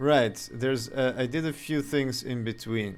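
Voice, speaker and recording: Here a man with a slight Serbian accent speaks at a moderate pace. His pitch is medium, with ordinary pitch variation. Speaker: game developer streamer. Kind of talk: live game dev stream. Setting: live stream. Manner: halting.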